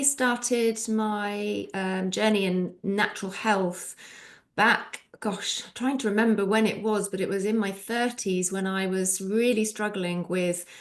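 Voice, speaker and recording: Speaking at a very slow pace, a woman with a British accent and medium pitch keeps fairly even intonation. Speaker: nutritional therapist. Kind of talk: casual chat. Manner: hesitant, many filler ums.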